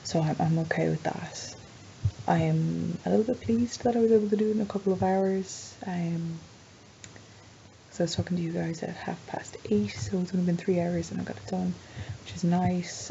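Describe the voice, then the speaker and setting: A soft-spoken woman at a moderate pace, with noticeable background noise. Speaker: vlogger. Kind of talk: casual vlog. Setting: at home at night.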